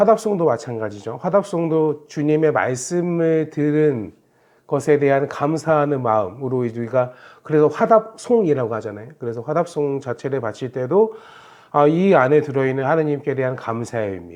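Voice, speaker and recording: A plain, everyday voice from a man, fairly high-pitched, with lively intonation at a moderate pace. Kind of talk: Bible quiz explanation talk. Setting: recorded video.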